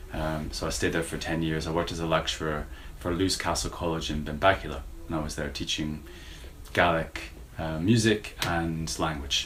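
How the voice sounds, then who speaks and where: With an American accent and a very deep, low pitch, a man speaks at a moderate pace and fairly even intonation amid noticeable background noise and audible room echo. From United States. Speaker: university lecturer. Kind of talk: interview. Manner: halting, many fillers.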